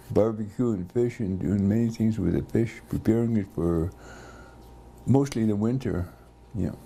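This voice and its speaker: The voice has a dark, mellow tone and moves at a fairly slow pace. Long, frequent pauses break up the speech. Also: man, ordinary pitch variation. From Port Alberni area, British Columbia, Canada. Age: 80s+. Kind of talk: oral history interview. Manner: halting, with many fillers.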